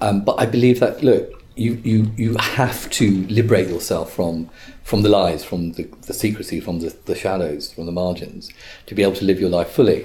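A man with an English accent, speaking at a moderate pace. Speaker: barrister. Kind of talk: interview.

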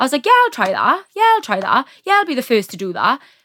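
A woman speaks with a bright, sharp tone. The sound is dry and close, with no echo. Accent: South Welsh. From South Wales, Neath. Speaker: actor. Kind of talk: casual chat.

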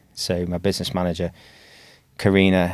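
A man with an English accent speaks in a very deep, low pitch with monotone, flat intonation, on a very clean recording with a silent background. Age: 40s. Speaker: dentist and practice owner. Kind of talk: interview conversation.

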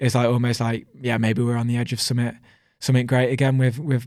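A man talks at a very fast pace with a Birmingham accent. His intonation is monotone and flat. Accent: Birmingham-tinged Midlands English. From Coventry, England. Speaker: professional cyclist. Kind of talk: casual interview chat.

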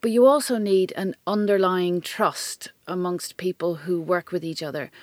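A woman with an Irish accent speaks at a fairly low pitch with ordinary pitch variation. The sound is dry and close with no echo, in a very clean recording with a silent background. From Ireland. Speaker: tech company chief executive. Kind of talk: interview conversation.

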